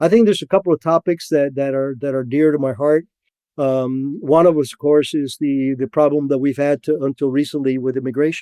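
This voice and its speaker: In a Spanish accent, a man speaks at a fairly quick pace with a fairly high pitch, ordinary pitch variation and a dark, mellow tone, the sound dry and close with no echo. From Cuba. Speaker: former intelligence officer. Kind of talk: podcast interview. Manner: halting, many repetitions and fillers.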